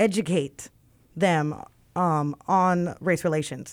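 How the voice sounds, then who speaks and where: With an American accent, a woman of medium pitch and a normal speaking voice talks at a fairly slow pace. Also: very clean recording, silent background. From Wilmington, North Carolina. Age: 30s. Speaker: city council candidate, cleaning contractor. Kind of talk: radio interview.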